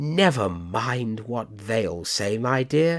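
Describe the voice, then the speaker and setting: A man's put-on character voice, very slow in pace, medium in pitch, with lively intonation. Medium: read story. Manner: prim, confiding.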